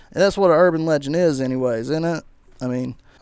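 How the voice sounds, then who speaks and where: This speaker has a strong Southern US accent. The pace is fairly quick, with ordinary pitch variation. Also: man. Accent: thick Southern US. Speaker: gaming YouTuber. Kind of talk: video commentary. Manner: mumbling at times; casual, animated rant.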